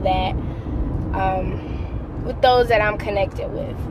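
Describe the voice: A woman speaks slowly at a fairly high pitch. Background noise is clearly audible.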